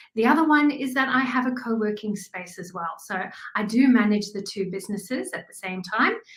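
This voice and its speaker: With a South African accent, a woman speaks using lively intonation. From South Africa, small town near Kruger. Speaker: graphic designer and business owner. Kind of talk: interview.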